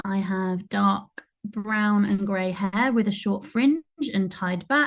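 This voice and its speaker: A woman's somewhat breathy voice at medium pitch, very slow, with fairly even intonation and a quiet background. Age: 30s. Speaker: performer and theatre maker. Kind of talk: online panel discussion. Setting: video call.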